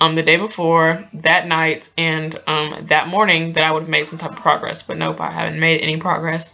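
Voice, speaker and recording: Amid noticeable background noise, a woman with a fairly low pitch speaks at a moderate pace in a monotone, flat intonation. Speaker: vlogger and new mother. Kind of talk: casual storytelling vlog. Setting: home, reading from screen. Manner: hesitant, many fillers.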